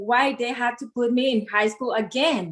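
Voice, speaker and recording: Speaking with a Spanish accent, a woman with high pitch keeps a moderate pace. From Mexico. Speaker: model and coach. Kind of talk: interview. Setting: live stream.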